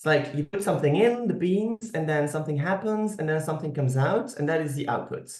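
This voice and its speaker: A man with a Flemish accent speaks at a very fast pace with hardly any pauses. His fairly high pitch shows ordinary variation, and room echo is audible. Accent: Flemish Dutch accent in English. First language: Dutch. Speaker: professor. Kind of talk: lecture. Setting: online video lecture. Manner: halting, many fillers.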